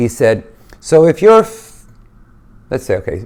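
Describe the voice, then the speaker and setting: Swinging his pitch very widely, a man talks at a fairly slow pace. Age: 60s. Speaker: lifestyle vlogger. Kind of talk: casual vlog monologue. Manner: conversational, with fillers and restarts.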